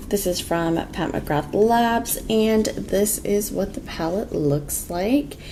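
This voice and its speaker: Over noticeable background noise, a woman speaks very slowly at a medium pitch. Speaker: beauty vlogger. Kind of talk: makeup tutorial chat. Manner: louder, less monotone than usual; casual, with many filler words.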